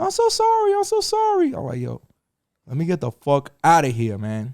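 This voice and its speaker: Recorded with a dry, close sound and no echo, a man in a New York accent talks at a moderate pace. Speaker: podcast host. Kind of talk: casual chat. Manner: animated; expletive-laden.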